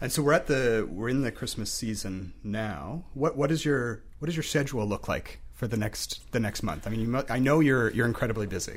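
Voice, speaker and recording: This man has a normal speaking voice at medium pitch. He talks at a fairly quick pace with lively intonation. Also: hardly any pauses. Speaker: podcast host. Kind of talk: interview.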